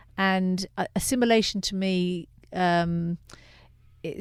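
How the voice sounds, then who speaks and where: A woman speaks with an English accent and fairly even intonation. The recording is very clean with a silent background. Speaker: director of a refugee legal aid service. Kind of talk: radio interview. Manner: halting, many fillers.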